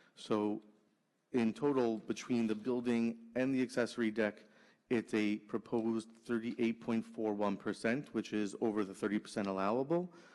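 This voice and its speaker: An unremarkable speaking voice from a man, medium in pitch, fairly even in intonation, at a moderate pace. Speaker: permit agent presenting to zoning board. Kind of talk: formal presentation at public hearing.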